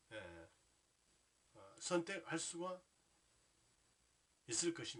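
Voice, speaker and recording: Very slowly, a man speaks in a fairly high voice that makes very wide pitch swings. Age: 60s. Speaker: Buddhist lay teacher. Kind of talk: religious talk. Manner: formal; halting, many fillers.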